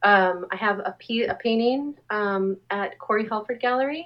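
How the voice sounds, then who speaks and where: A woman with a fairly high pitch and ordinary pitch variation talks in an ordinary speaking voice with an American accent. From Southern California, Anaheim. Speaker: artist. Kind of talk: casual interview.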